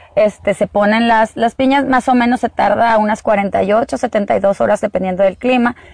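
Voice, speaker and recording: A woman with a normal speaking voice, fairly high in pitch, talks at a fairly slow pace with hardly any pauses, fairly even intonation and very even loudness, in a dry, close sound with no echo. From Sonora, Mexico. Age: 40s. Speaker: agave producer and entrepreneur. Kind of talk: interview. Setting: outdoors in an agave field.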